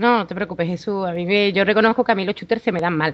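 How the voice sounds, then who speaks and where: A woman speaks in a normal speaking voice at a fairly quick pace. Her pitch sits in the medium range, with ordinary variation. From Seville, Spain. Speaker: podcast listener guest. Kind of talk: casual chat.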